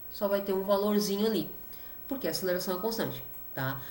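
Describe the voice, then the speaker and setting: A woman's medium-pitched voice at a very fast pace, with audible room echo and noticeable background noise. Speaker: physics teacher. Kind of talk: lecture.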